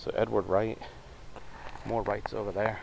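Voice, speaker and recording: With noticeable background noise behind him, a man speaks at a fairly low pitch in fairly even intonation. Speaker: paranormal investigator vlogger. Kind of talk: on-location narration. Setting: outdoors. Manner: loud; halting.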